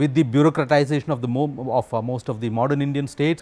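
A man's dark, mellow voice at a very fast pace. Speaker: interviewee. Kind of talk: interview answer. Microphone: lapel.

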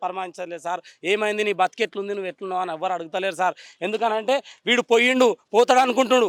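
With a Telangana accent, a man speaks at a high pitch with ordinary pitch variation, heard dry and close with no echo. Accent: Telangana Telugu. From Telangana, Vikarabad district. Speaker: demolition victim, resident. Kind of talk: emotional street interview. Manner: agitated, pleading.

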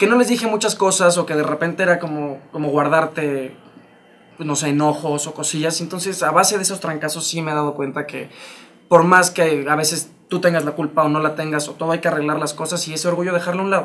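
A man in a Mexican accent, very fast pace, fairly even intonation. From Mexico. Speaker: stage actor. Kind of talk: casual interview chat. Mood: reflective, personal. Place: studio. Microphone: lapel.

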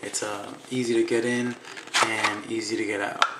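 Noticeable background noise behind a man talking. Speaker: holster maker. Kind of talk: casual product demo talk to camera. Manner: hesitant, many fillers. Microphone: phone near.

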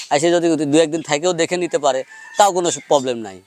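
The recording of a high-pitched man with ordinary pitch variation sounds dry and close with no echo, and there is noticeable background noise. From Bangladesh, Pabna district. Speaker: cattle farmer and calf seller. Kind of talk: on-farm sales pitch interview.

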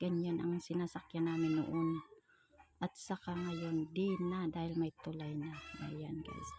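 Her tone is dark and mellow, and somewhat breathy. A woman speaks at a fairly low pitch. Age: 40s. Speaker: vlogger. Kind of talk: travel vlog narration. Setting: outdoors, travelling by motorbike and on foot.

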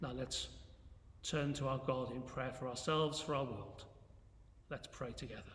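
Over light background noise and audible room echo, a man speaks at a moderate pace in a flat monotone, leaving long, frequent pauses. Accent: English. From England. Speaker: church minister. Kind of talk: fervent intercessory prayer, earnest and devout, with solemn petitions. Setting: church, recorded video. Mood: calm, reverent. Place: church. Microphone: phone near.

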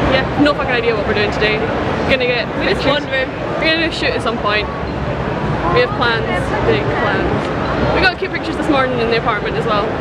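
The pace is very fast, with crowd noise in the background. The sound is dry, with no echo. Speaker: cosplayer vlogger. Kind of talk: casual vlog chat. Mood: cheerful, joking. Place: hall. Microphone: phone near.

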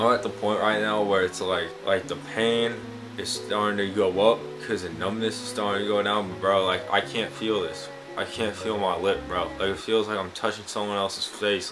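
Clear music plays in the background as a man talks in a fairly low voice. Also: ordinary pitch variation, moderate pace. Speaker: vlogger. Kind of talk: casual vlog chat. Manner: numb-mouthed, slightly slurred post-surgery speech. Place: home room. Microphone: webcam.

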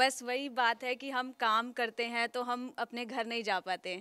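A woman speaks at a moderate pace in a high pitch. Her tone is bright and sharp, and the sound is dry with no echo. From Ayodhya, Uttar Pradesh, India; Uttar Pradesh, India. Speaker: news anchor; news interviewer. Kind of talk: interview. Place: studio. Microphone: handheld.

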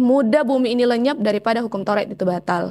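In a quiet background, a woman speaks at a very fast pace. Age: 20s. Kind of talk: testimony interview. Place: home room. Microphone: lapel.

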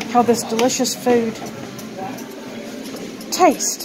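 Noticeable background noise surrounds a woman's voice. She speaks very slowly at a high pitch. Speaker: food reviewer. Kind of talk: casual food review vlog. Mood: enthusiastic, pleased. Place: cafe. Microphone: phone near.

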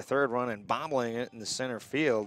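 This man's voice has a medium pitch and a fairly quick pace, with fairly even intonation. The sound is dry with no echo, and there is light background noise. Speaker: baseball play-by-play announcer. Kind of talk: live sports commentary, play-by-play. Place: stadium.

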